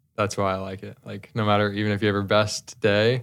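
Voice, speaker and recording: The fairly low-pitched man talks at a fairly quick pace with fairly even intonation, in an American accent. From US Northeast, New Jersey. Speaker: professional golfer. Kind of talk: interview. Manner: casual, hesitant with repetitions.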